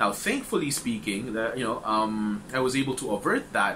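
A man's voice shows ordinary pitch variation, with light background noise present. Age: 30s. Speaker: support group facilitator. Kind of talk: informal talk to a support group. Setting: group meeting with audience. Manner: hesitant, many fillers. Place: home room. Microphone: webcam.

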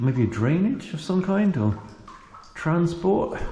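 Over audible room echo, a man talks with very wide pitch swings. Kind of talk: casual vlog commentary. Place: tunnel cave. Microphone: phone near.

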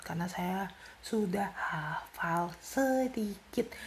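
Soft-spoken with vocal fry, a woman talks with ordinary pitch variation.

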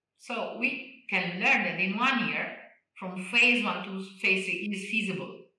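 A woman with an Italian accent, fairly slow pace, ordinary pitch variation, audible room echo and a quiet background. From Italy. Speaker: neurologist and research director; interviewee. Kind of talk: interview. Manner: animated, moves her hands while talking. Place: home room. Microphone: video call.

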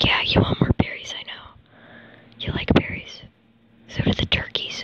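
A woman whispers at a moderate pace with big swings in loudness over noticeable background noise. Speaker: gamer. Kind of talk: casual gameplay commentary. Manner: whispered.

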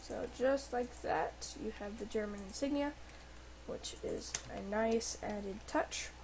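A woman talks at a fairly slow tempo while noticeable noise fills the background. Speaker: gaming YouTuber. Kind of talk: tutorial. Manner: hesitant, many fillers.

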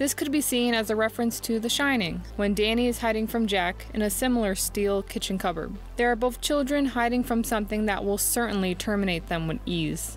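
A woman talks at a fairly quick pace with ordinary pitch variation, very even loudness and hardly any pauses. Music plays in the background, and the sound is dry with no echo. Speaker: video essay narrator. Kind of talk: commentary.

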